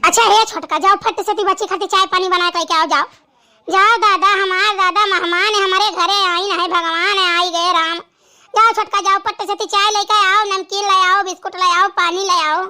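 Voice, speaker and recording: In a cartoonish character voice, a woman speaks at a fairly quick pace with an extremely high pitch and a monotone, flat intonation. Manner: loud, rustic Awadhi.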